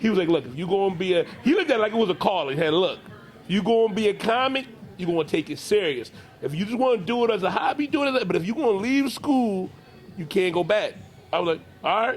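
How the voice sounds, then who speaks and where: Over music in the background, a man with an American accent talks very fast at a high pitch with lively intonation. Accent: Philadelphia accent, toned down. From South Philadelphia, US. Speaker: comedian. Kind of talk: interview. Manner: casual, slangy.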